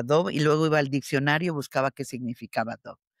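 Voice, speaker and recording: A woman in a dry, close sound with no echo. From Mexico, Michoacán. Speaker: actress. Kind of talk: interview. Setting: video call.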